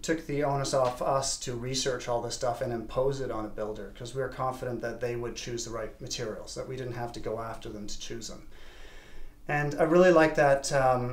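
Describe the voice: A man talks at a moderate pace and medium pitch, with fairly even intonation.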